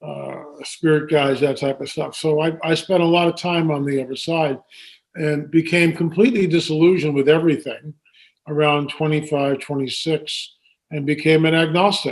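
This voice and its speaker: Delivered at a moderate pace, the voice keeps a monotone, flat intonation. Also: man, fairly high pitch for a man. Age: 70s. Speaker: filmmaker and author on UFO research. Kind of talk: interview. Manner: hesitant with many fillers.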